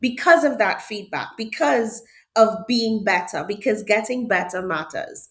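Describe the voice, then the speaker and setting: The speaker talks at a fairly slow pace with a Trinidadian accent. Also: woman. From Trinidad and Tobago. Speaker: HR director. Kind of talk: podcast interview.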